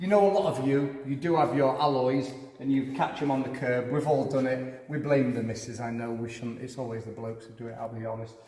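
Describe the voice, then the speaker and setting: In a Yorkshire accent, a man talks at a fairly quick pace and fairly high pitch, with noticeable background noise and audible room echo. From Yorkshire, England. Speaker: car and motorbike repair vlogger. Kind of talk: casual garage tour vlog.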